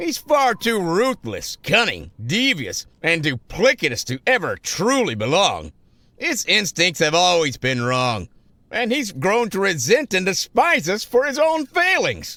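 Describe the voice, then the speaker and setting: Captured in a very clean recording with a silent background, a cartoonish character voice talks at a fairly slow pace. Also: man, high pitch for a man. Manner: formal, measured.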